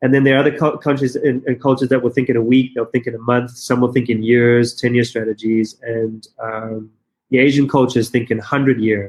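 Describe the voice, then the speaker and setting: A man talks with a South African accent. His intonation is fairly even. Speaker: business consultant and company founder. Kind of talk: podcast interview. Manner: fast, halting with repetitions.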